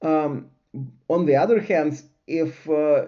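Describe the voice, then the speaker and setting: In a non-native accent, a man talks at a very slow pace with ordinary pitch variation. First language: not English. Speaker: science lecturer / channel host. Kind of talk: lecture. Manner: halting.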